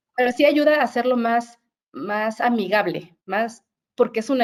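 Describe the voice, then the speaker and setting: The voice carries a Mexican accent. It moves at a moderate pace with ordinary pitch variation. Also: woman. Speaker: HR director. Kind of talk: webinar interview.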